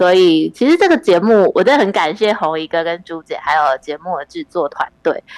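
In a normal speaking voice, a woman talks at a fairly quick pace with hardly any pauses, medium pitch and lively intonation, the sound dry and close with no echo. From Taiwan, Pingtung. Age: 30s. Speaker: listener, fan of the show. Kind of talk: casual chat.

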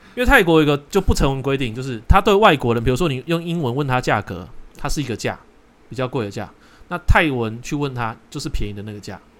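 Lively in intonation, a man speaks at a medium pitch and a very fast pace with big swings in loudness. The recording is very clean with a silent background. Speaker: podcast host. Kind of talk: casual chat.

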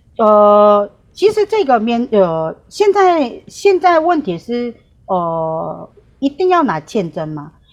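A woman with a Korean accent, fairly high in pitch, very wide pitch swings, and a very slow pace. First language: Korean (speaking Chinese). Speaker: tour guide. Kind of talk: remote interview. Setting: remote call. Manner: halting, many fillers.

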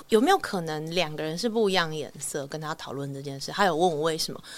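Lively intonation marks an ordinary speaking voice that runs at a fairly quick pace. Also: woman. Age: 30s. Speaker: band musician. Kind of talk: casual interview chat.

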